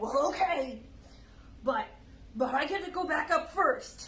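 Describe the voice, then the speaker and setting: A put-on character voice sits at an extremely high pitch and moves at a fairly slow pace. Background noise is clearly audible. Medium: read story. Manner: gruff, suspicious.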